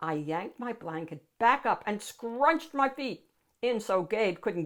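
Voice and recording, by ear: The background stays quiet. A natural voice reads aloud with lively intonation.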